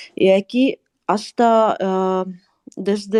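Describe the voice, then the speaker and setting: A woman with a Russian accent speaks at medium pitch with ordinary pitch variation, the sound dry and close with no echo. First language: Russian (speaking Spanish). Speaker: guest expert on Russian culture. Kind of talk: live panel discussion.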